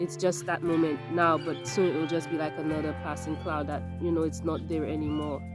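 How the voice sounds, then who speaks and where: A woman's very deep, low voice with very wide pitch swings, at a fairly quick pace with hardly any pauses, over music in the background. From Saint Lucia. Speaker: dental hygienist. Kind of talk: casual talk to camera.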